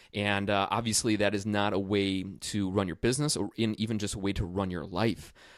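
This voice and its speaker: A man with an American accent speaks fairly quickly, with hardly any pauses and fairly even intonation. His is an unremarkable speaking voice, fairly low in pitch, on a very clean recording with a silent background. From US Midwest. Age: 30s. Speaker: podcast host, firefighter and small business owner. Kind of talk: podcast monologue and interview.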